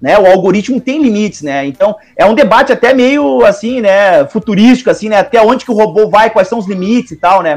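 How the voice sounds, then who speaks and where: Using a Gaúcho Brazilian accent, a man talks at a high pitch and a fairly quick pace. His intonation is lively, with hardly any pauses. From Porto Alegre, southern Brazil. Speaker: teacher. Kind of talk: casual chat.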